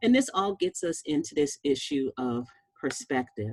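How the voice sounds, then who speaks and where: A woman's very deep, low voice with lively intonation, dry and close with no echo. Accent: American. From Boston, Massachusetts. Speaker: physician. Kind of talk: presentation.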